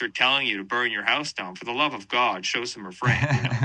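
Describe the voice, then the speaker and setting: Over noticeable background noise, a man talks at a fairly quick pace with medium pitch and lively intonation. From western Canada. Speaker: band vocalist and guitarist. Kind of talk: interview. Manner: animated, casual with many fillers.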